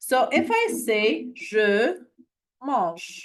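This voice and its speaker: Speaking with a non-native accent, a woman goes at a very slow pace in a fairly high pitch. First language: not English. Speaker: French language tutor. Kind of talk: online lesson. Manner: halting, self-correcting.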